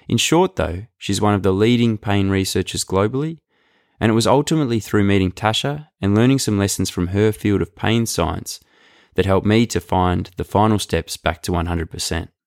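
Speaking with an Australian accent, a man talks at a fairly quick pace with a fairly low pitch and ordinary pitch variation. The sound is dry and close, with no echo. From rural Victoria, Australia. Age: young. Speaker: podcast host. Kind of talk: casual interview; scripted intro.

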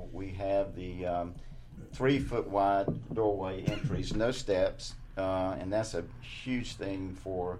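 A man's very deep, low voice at a very slow pace. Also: ordinary pitch variation. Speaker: senior real estate specialist. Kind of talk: radio interview chat. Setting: radio studio.

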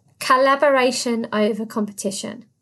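Speaking at a moderate pace, a woman with a British accent uses a high pitch. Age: 30s. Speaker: podcast host and business consultant. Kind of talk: solo podcast monologue. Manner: animated.

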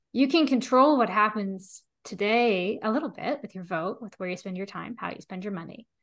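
With an ordinary speaking voice, a woman talks at a fairly high pitch and moderate pace, with lively intonation, big swings in loudness and hardly any pauses, against a quiet background. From US (Pennsylvania). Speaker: statistician and co-author. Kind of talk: interview conversation.

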